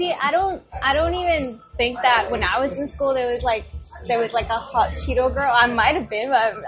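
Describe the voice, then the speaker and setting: With a Mexican accent, a woman speaks at a moderate pace in a high pitch with lively intonation over noticeable background noise. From Mexico, then Dallas, Texas. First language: Spanish. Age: 30s. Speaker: podcast guest, book lover. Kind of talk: casual chat.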